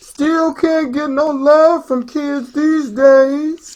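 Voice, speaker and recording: A woman's put-on character voice, high-pitched and monotone, with flat intonation and a very slow pace. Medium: read story. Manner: laid-back, casual.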